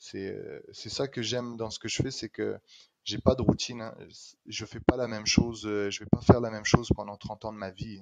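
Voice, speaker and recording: A man's medium-pitched voice, monotone and flat, comes at a moderate pace with big swings in loudness and a dry, close sound with no echo. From France, Normandy. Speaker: street artist. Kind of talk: podcast interview.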